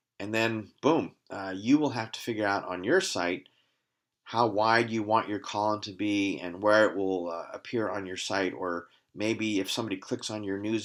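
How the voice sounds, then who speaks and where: On a very clean recording with a silent background, a man with an ordinary speaking voice talks at a moderate pace, fairly low in pitch with fairly even intonation. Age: 60s. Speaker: company CEO presenting his product. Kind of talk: sales pitch. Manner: casual, with frequent fillers.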